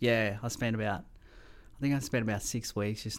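A man with an Australian accent speaks at a fairly quick pace in a fairly low pitch, on a very clean recording with a silent background. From Mauritius, then Melbourne from age ten. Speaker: pilot. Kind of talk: interview.

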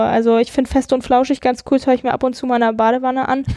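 The delivery is monotone with flat intonation. The sound is dry and close, with no echo. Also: woman. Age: 20s. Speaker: guest taking a sabbatical. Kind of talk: casual chat.

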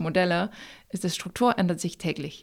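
Fairly even intonation at a moderate pace, with a French accent, on a very clean recording with a silent background. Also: woman. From France, raised in many countries. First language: French (speaking German). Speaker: company founder. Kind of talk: interview. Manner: halting.

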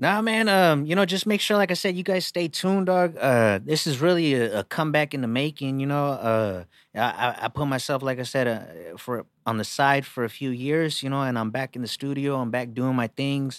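A man with a normal speaking voice and a fairly high pitch, lively intonation, a moderate pace and hardly any pauses, on a very clean recording with a silent background. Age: 30s. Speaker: rapper. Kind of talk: casual chat.

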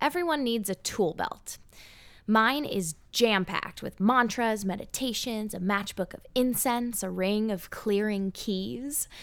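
A woman with a normal speaking voice and an American accent, fairly high in pitch with ordinary pitch variation, at a fairly slow pace in a very clean recording with a silent background. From Southern California. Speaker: podcast co-host, actress. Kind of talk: scripted narration.

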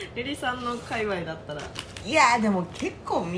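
A woman with a Kansai accent talks at a moderate pace with lively intonation, amid audible room echo and noticeable background noise. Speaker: podcast co-host. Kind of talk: casual chat.

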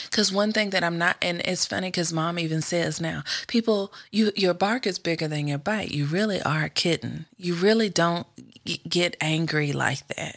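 A woman with an American accent has an unremarkable speaking voice, fairly low in pitch with ordinary pitch variation. She speaks at a moderate pace on a very clean recording with a silent background. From US South. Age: 40s. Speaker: host's sister, podcast guest. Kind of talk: casual chat.

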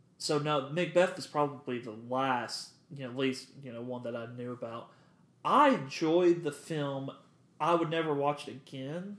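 In a plain, everyday voice, a man speaks at a moderate pace with big swings in loudness. His fairly high pitch shows ordinary pitch variation. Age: 20s. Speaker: podcast co-host. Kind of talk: casual chat.

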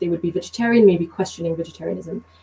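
This woman, speaking with a British accent, has a dark, mellow, somewhat breathy tone and ordinary pitch variation. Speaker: community organizer and business professional. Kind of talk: casual interview discussion. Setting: video call.

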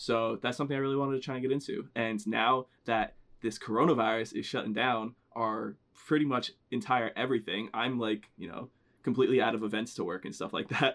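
This man has an unremarkable speaking voice, medium in pitch with ordinary pitch variation and an American accent. He talks at a fairly quick pace. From New Jersey. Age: 20s. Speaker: podcast co-host. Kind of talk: casual chat. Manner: casual, joking.

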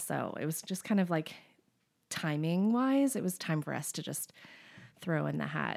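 A woman speaks at a moderate pace in an animated tone with a fairly low pitch. The recording is very clean, with a silent background. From Maryland and Florida, US (born in England). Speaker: musician, former touring band member. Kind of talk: casual chat. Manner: animated, laughs often.

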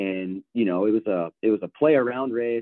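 With an ordinary speaking voice and fairly low pitch, a man talks at a moderate pace with ordinary pitch variation. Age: 30s. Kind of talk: casual chat.

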